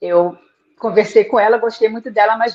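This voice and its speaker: The woman speaks in an unremarkable speaking voice, keeping a moderate pace. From Rio de Janeiro, Brazil. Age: 60s. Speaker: author and tour guide. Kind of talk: interview on live book launch.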